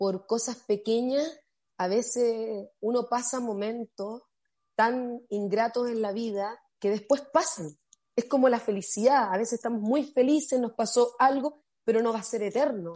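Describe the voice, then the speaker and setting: At a fairly slow pace, a woman talks in a fairly high pitch with a dark, mellow tone and ordinary pitch variation. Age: 30s. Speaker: motivational speaker. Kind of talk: casual chat.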